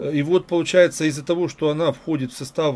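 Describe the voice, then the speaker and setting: Here a man speaks at a moderate pace. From Ukraine (Kyiv). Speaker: video blogger. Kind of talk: casual chat. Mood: calm, curious. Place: home room. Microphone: webcam.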